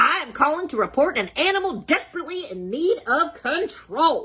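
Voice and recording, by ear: A woman does a put-on character voice with a high pitch and a bright, sharp tone. Her pitch swings widely at a moderate pace.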